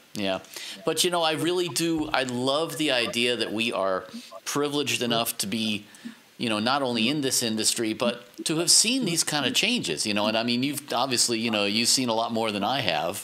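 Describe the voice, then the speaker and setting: Over noticeable background noise, a man with an American accent talks at a fairly quick pace in a medium pitch, his intonation lively and his loudness very even. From New York. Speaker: podcast host, audio professional. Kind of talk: casual interview.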